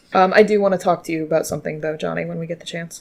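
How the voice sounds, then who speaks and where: A woman puts on a raspy character voice with fairly low pitch and rattles along at a very fast pace. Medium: actual play. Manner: easygoing, affectionate.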